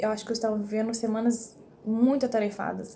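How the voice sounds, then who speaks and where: With audible room echo, a woman speaks at a moderate pace and fairly high pitch, her dark, mellow tone somewhat breathy and her intonation monotone and flat. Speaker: vlogger. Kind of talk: personal vlog. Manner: whispering.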